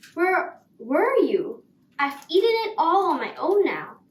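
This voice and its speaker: Putting on a character voice, a woman speaks extremely high with lively intonation at a fairly slow pace. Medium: read story. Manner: casual, offhand.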